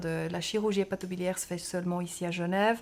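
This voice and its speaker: The recording is very clean with a silent background. A woman speaks with a Swiss German accent. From German-speaking Switzerland. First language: Swiss German (speaking French). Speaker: pediatric surgeon. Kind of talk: interview. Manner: hesitant, with fillers.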